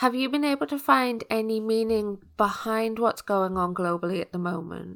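On a very clean recording with a silent background, a woman with a British accent speaks at a fairly high pitch and a moderate pace with lively intonation. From UK. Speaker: podcast host, personal development coach. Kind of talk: interview podcast.

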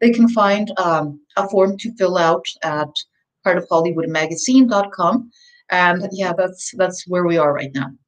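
With a Spanish accent, a woman speaks at a medium pitch and fairly slow pace with ordinary pitch variation. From Mexico City. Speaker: author and communications expert. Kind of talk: interview.

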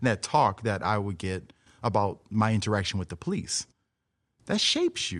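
A man speaks in a plain, everyday voice at a moderate pace. His pitch is fairly low with ordinary variation, on a very clean recording with a silent background. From US South, New Orleans. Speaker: artist and educator. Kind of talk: casual interview.

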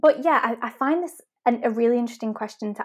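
A woman with a Manchester accent talks at a fairly high pitch in a very clean recording with a silent background. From Manchester, England. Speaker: web designer and business owner. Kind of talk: casual interview chat.

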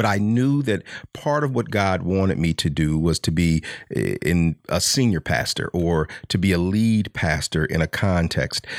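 A man's very deep, low voice with lively intonation and very even loudness at a moderate pace, dry and close with no echo, on a very clean recording with a silent background. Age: 50s. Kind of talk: faith-based motivational talk.

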